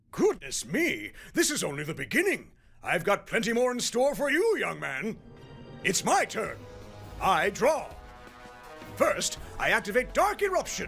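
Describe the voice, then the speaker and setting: Doing a put-on character voice pitched extremely high, a man talks at a moderate pace with long, frequent pauses while clear music plays in the background. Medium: dub.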